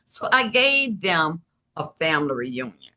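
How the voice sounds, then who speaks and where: A woman's bright, sharp voice with vocal fry. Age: 70s. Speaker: novelist. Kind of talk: interview. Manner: animated.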